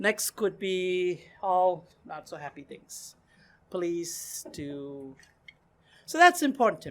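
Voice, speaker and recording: A woman's medium-pitched voice with a non-native accent, very slow, with lively intonation and big swings in loudness, on a very clean recording with a silent background. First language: not English. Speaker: meeting facilitator. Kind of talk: casual group discussion. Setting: meeting room with small group, recorded for camera. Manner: animated.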